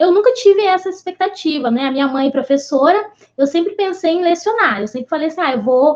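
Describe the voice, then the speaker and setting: The pace is moderate. Pitch swings very widely throughout. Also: woman. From Brazil, interior of Rio de Janeiro state. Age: 30s. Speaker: bank assistant manager. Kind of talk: interview.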